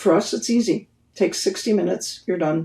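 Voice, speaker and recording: Vocal fry runs through this woman's dark, mellow tone. Her pitch is fairly low and her pace moderate. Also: very clean recording, silent background. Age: 70s. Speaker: therapy pioneer and practitioner. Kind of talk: podcast interview.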